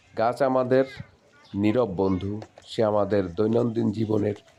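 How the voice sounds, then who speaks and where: With noticeable background noise, a man talks at a fairly low pitch with ordinary pitch variation. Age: 40s. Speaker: farming video blogger. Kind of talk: vlog narration.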